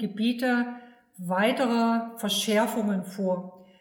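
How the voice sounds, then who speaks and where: The speaker is a woman with a fairly high pitch. Room echo is audible. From Saxony, eastern Germany. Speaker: agricultural fertilizer advisor. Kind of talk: expert interview.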